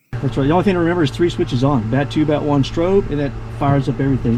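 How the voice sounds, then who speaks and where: A man speaks at a very fast pace, and noticeable background noise is present. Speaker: flight instructor. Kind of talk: in-cockpit walkthrough.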